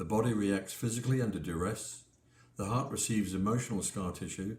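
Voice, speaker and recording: The somewhat breathy voice moves at a moderate pace with ordinary pitch variation, and audible room echo surrounds it. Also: man. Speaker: pastor and author. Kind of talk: book talk with scripture reading. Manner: halting.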